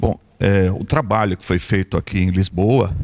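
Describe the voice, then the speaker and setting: A man with a São Paulo accent talks at a fairly slow pace. His pitch is fairly low, with ordinary variation. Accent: São Paulo Brazilian. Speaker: audience member asking question. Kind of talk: audience question.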